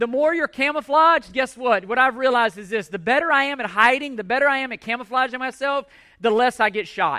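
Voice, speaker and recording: Against a quiet background, a man talks at a fairly quick pace in a raised, projected voice, extremely high for a man, bright and sharp with a passionate tone and ordinary pitch variation. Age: 40s. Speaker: pastor. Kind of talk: sermon. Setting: church. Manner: loud.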